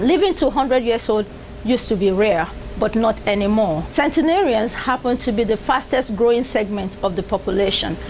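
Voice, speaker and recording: Over noticeable background noise, a woman speaks at a fairly quick pace with a fairly high pitch, lively intonation and very even loudness. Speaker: TV show host. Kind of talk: TV program introduction.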